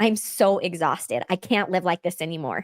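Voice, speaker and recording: Lively in intonation and animated in tone, a woman talks at a fairly quick pace. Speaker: podcast host. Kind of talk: personal testimony. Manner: fast when excited.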